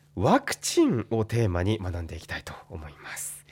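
The speech moves at a fairly slow pace. It is a very clean recording with a silent background. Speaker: radio host. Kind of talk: radio talk show interview. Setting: radio studio.

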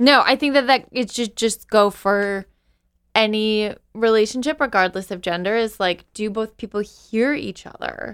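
Fairly high in pitch, a woman speaks in an ordinary speaking voice at a fairly slow pace with ordinary pitch variation. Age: 30s. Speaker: podcast co-host. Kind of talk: casual chat.

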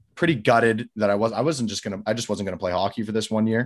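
Fairly even intonation in a western Canadian accent. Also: man. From Canada, Calgary. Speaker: hockey goalie and coach. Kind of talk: casual chat.

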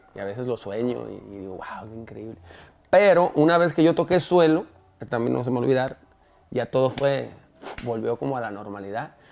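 Over noticeable background noise, a man with a medium pitch talks at a fairly quick pace, with lively intonation and big swings in loudness. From Mexico. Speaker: singer. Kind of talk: interview.

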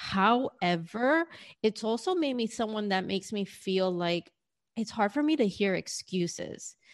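A woman in a New York accent, lively in intonation and fairly slow, with a dry, close sound and no echo. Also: medium pitch for a woman. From New York City, US. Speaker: business mentor and career coach. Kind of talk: interview.

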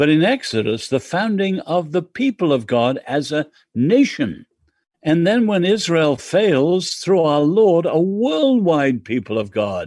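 Speaking at a fairly slow pace with an English accent, a man uses a high pitch with very wide swings. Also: quiet background. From England. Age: 70s. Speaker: author and social critic. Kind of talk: interview.

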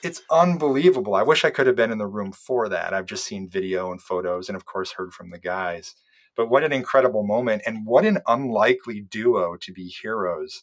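An unremarkable speaking voice from a man, medium in pitch, at a fairly quick pace with hardly any pauses, lively intonation and big swings in loudness. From US Midwest (Iowa). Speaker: documentary filmmaker and bonus-feature producer. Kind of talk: interview conversation.

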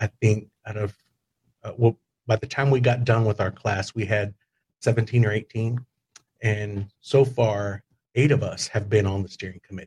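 A man with a Texan accent speaks at a moderate pace with long, frequent pauses, his voice fairly low-pitched and somewhat breathy, his intonation fairly even, in a dry, close sound with no echo. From Texas Hill Country (Kerrville). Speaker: hospital public information officer. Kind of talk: casual interview.

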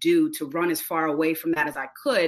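Fairly low in pitch, a woman with a plain, everyday voice speaks with fairly even intonation. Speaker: diversity trainer and speaker. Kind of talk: interview conversation.

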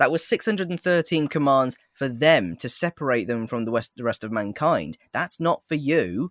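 A man with an English accent and a fairly high voice swings his pitch very widely, recorded very cleanly against a silent background with a dry, close sound and no echo. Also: moderate pace, hardly any pauses. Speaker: TikTok creator who plays Jesus. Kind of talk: casual chat. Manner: halting, repeats words.

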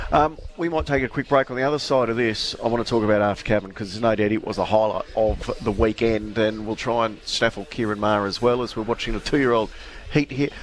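Someone with an Australian accent talks at a very fast pace with hardly any pauses, over noticeable background noise. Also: man, medium pitch for a man, ordinary pitch variation. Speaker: radio racing show host. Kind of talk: live radio chat. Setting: live outside broadcast from a training complex cafe.

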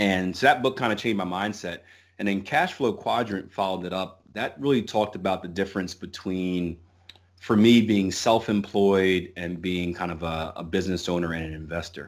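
In a very clean recording with a silent background, a man speaks with an American accent. His pitch is very deep and low, and his pace is moderate. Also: ordinary pitch variation. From US, Philadelphia. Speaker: forex trader. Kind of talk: interview. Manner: halting, many fillers.

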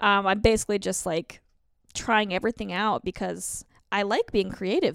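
A woman's medium-pitched voice with an American accent, vocal fry and ordinary pitch variation, at a fairly quick pace, in a dry, close, echo-free sound on a very clean recording with a silent background. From Colorado, US. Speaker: author and comedian. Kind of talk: casual chat.

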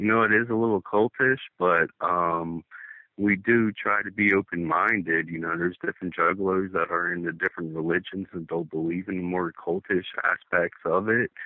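With an East Coast US accent, a man speaks at a moderate pace with fairly even intonation and a very deep, low pitch. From Delaware. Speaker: caller, juggalo. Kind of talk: phone interview. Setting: phone call.

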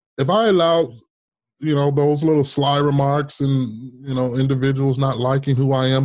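A man with an American accent in an ordinary speaking voice, fairly quick pace and ordinary pitch variation, against a quiet background. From US Midwest and Las Vegas. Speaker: former politician. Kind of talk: interview storytelling.

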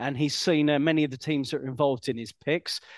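A man with an ordinary speaking voice, fairly high in pitch, at a fairly quick pace, in a dry, close recording with no echo and a quiet background. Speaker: podcast host. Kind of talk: casual chat.

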